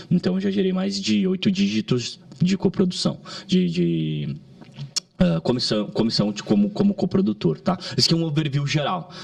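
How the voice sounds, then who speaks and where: A man's high-pitched voice with lively intonation, set against noticeable background noise. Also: moderate pace. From southern Brazil, Caxias do Sul, Rio Grande do Sul. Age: 30s. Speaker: digital marketing entrepreneur. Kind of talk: podcast interview. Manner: halting, with frequent restarts.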